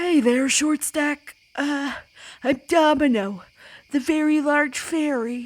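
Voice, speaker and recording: In a breathy, high-pitched put-on character voice, the speaker goes at a fairly slow pace with long, frequent pauses on a very clean recording with a silent background. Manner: friendly, teasing.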